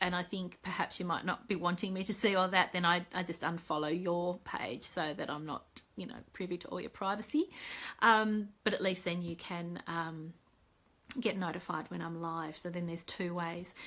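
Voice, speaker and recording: Speaking at a moderate pace, a woman with an Australian accent keeps a fairly even intonation. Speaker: psychologist and mentor. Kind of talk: live video update. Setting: Facebook live video. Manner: casual, many fillers.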